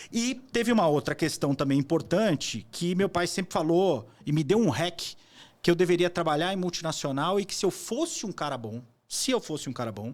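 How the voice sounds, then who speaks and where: In a very clean recording with a silent background, a man speaks at a moderate pace in a high voice with lively intonation. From Brazil. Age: 40s. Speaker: entrepreneur and investor. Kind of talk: interview conversation. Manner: casual, with fillers and repetitions.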